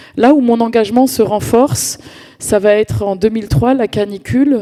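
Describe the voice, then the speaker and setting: A woman talks with ordinary pitch variation while background noise is noticeable. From France, Paris suburbs (Val-d'Oise, Cergy). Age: 40s. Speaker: community activist. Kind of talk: conference talk. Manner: hesitant, many fillers and repetitions.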